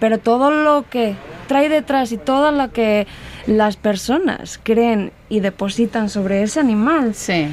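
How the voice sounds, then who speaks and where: A woman with a Spanish accent speaks very slowly in a fairly high pitch, her intonation lively and her loudness very even. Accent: Spanish (Spain). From Spain (Castilla-La Mancha). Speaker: illustrator. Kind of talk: interview.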